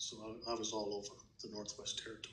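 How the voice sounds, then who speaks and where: A man speaks with fairly low pitch, vocal fry and monotone, flat intonation. Audible room echo surrounds the voice. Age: 70s. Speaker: grandfather interviewed for school project. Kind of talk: interview. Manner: halting, many fillers.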